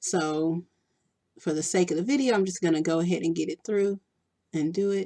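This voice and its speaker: With a Texan accent, a woman talks at a fairly quick pace yet leaves long, frequent pauses. Her fairly low voice has a dark, mellow tone, heard dry and close with no echo. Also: ordinary pitch variation. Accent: country-sounding Texan. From Texas. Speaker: beauty vlogger. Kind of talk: makeup tutorial. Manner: casual, chatty.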